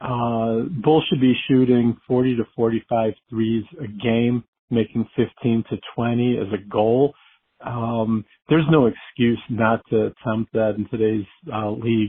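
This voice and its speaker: A man with a plain, everyday voice, medium in pitch, at a fairly slow pace with fairly even intonation. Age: 60s. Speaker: listener caller. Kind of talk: voicemail.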